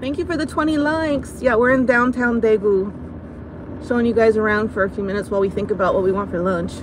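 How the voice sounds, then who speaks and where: A woman speaks at a fairly quick pace with hardly any pauses, her fairly high voice moving in lively intonation over a dry, echo-free sound with noticeable background noise. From United States. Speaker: vlogger. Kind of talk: live stream chat while driving. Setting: in a car. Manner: animated. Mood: amused, relaxed. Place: car. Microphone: phone near.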